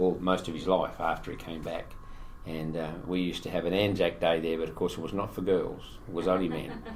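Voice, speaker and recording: A man with a very deep, low pitch talks at a fairly quick pace in an Australian accent. His intonation is monotone and flat, and the room echo is audible. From Western Australia, Fremantle. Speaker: veteran small business owner. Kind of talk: casual chat.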